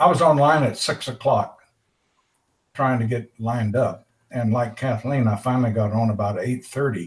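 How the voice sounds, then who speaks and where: The recording is very clean with a silent background. A man speaks at a moderate pace and medium pitch, his voice somewhat breathy with ordinary pitch variation. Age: 80s+. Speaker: computer club member. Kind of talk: casual chat. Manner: halting.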